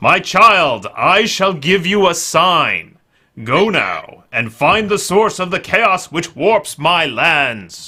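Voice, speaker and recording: A man talks in a put-on character voice. His pitch is high, and he speaks at a very slow pace. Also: very clean recording, silent background. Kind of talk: archaic, formal.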